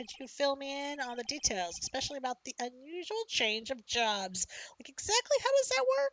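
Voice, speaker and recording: The put-on character voice has very wide pitch swings and big swings in loudness. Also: woman, high pitch for a woman, moderate pace. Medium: game stream.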